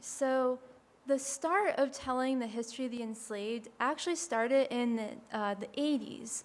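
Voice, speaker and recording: A soft-spoken woman talks at a moderate pace in a high voice with ordinary pitch variation. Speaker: historic site educator. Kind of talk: panel presentation.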